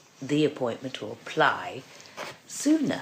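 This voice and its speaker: There's noticeable background noise as a woman talks very slowly with an English accent. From England. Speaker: barrister and podcast host. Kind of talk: interview.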